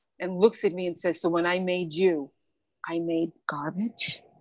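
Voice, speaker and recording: Here a woman with an unremarkable speaking voice talks at a fairly slow pace and fairly low pitch. Her intonation is fairly even, and the sound is dry and close with no echo. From New York (born in the Bahamas). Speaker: motivational speaker and author. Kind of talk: interview.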